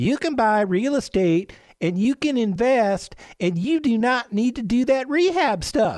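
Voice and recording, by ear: A squeaky, put-on character voice at a fairly high pitch and moderate pace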